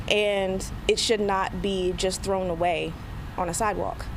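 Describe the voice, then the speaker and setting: There is noticeable background noise on this clip. A woman talks at a fairly slow pace. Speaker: laid-off federal worker being interviewed. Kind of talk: interview answer. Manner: emotional, reflective.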